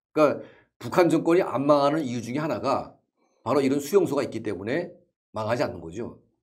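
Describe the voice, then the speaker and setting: Over a quiet background, a man talks very fast with lively intonation and vocal fry. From North Korea. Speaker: North Korean defector and activist; interview guest. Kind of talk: interview. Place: studio. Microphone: lapel.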